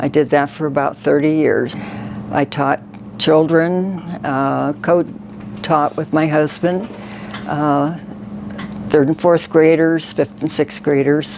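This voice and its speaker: A woman with an American accent, very deep and low in pitch, very slow with long, frequent pauses, lively intonation, and noticeable background noise. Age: 80s+. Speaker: makeover client, retired church secretary. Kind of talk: personal interview testimony. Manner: halting.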